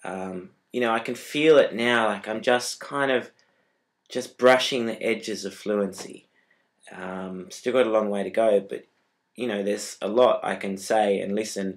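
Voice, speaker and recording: A fairly low-pitched man with an Australian accent and fairly even intonation. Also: moderate pace. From Australia, Tasmania. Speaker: vlogger, exchange student. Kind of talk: casual vlog. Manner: hesitant, many fillers.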